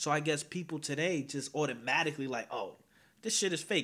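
This man has a plain, everyday voice with an American accent. His pitch sits fairly high. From northern New Jersey (Teaneck). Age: 20s. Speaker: YouTube commentary host. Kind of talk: casual panel discussion. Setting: online livestream.

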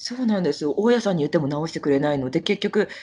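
Very wide pitch swings from a woman, set against a quiet background. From Japan, Kagoshima (Kirishima). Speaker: Japanese expat living abroad. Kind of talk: casual interview.

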